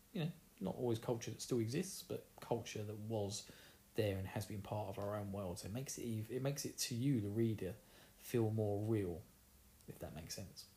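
Somewhat breathy and dark and mellow in tone, a man with an Essex accent speaks with ordinary pitch variation. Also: fairly low pitch for a man, moderate pace. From Essex, England. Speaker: podcast host. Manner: casual, chatty.

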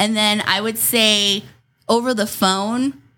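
A woman's bright, sharp tone rings out in a very clean recording with a silent background. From New Mexico. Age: 30s. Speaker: radio host. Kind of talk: casual chat.

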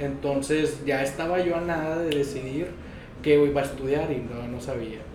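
A man's fairly high voice at a moderate pace, with fairly even intonation, audible room echo and noticeable background noise. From Mexico, Monterrey. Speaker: dentist. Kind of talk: interview. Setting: dental clinic.

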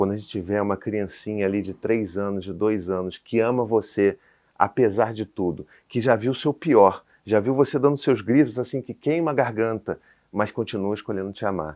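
In a normal speaking voice, a man talks at a moderate pace with a fairly low pitch. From Brazil, Rio de Janeiro. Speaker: parenting content creator, father of four. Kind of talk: casual interview chat. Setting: studio with small audience.

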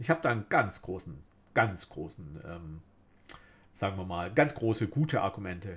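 On a very clean recording with a silent background, a man with a fairly low, somewhat breathy voice speaks at a moderate pace, using very wide pitch swings, big swings in loudness and long, frequent pauses. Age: middle-aged. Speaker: podcast host. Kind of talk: solo monologue podcast.

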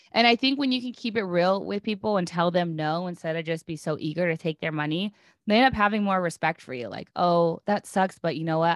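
A woman with a plain, everyday voice speaks at a fairly quick pace with hardly any pauses, her fairly low pitch carrying lively intonation in a dry, close sound with no echo. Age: 30s. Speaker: business coach. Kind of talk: casual chat interview. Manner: candid, casual.

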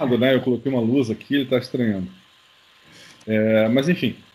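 A man with a medium pitch and an ordinary speaking voice. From Curitiba, southern Brazil. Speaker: UFO researcher and author. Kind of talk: interview.

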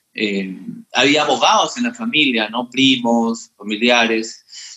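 A man speaks at a very slow pace in a medium pitch. His intonation stays fairly even. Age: 30s. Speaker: lawyer and entrepreneur. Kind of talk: casual chat. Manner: halting, many fillers and repetitions.

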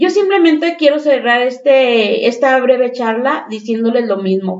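In a Mexican accent, a woman with a high pitch speaks fairly slowly, her pitch swinging very widely. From Mexico. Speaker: teacher. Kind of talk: panel discussion.

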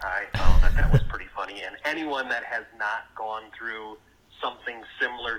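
Using a bright, sharp tone, a man with a Wisconsin accent talks at a moderate pace. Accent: Wisconsin, American Midwest.

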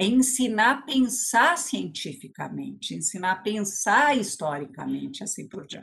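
A woman with a fairly high pitch and vocal fry speaks at a fairly slow pace with hardly any pauses. Her pitch swings very widely and her loudness swings a lot. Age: 60s. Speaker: education policy expert and former teacher. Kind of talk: lecture.

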